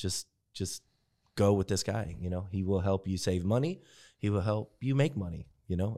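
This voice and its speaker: In a very clean recording with a silent background, a man speaks at a moderate pace. His voice is fairly low and dark, mellow in tone, with ordinary pitch variation. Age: 40s. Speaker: podcast host and video producer. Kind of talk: casual chat.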